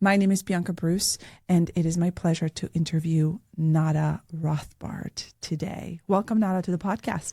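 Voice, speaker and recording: With hardly any pauses, a woman speaks at a fairly low pitch in a somewhat breathy, dark, mellow tone, captured in a very clean recording with a silent background. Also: fairly even intonation, moderate pace. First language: not English. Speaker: podcast host, real estate agent. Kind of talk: interview.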